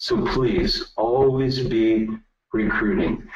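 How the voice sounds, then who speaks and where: A man speaks at a medium pitch, with audible echo from the room. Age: 60s. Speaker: network marketing business leader. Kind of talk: webinar presentation.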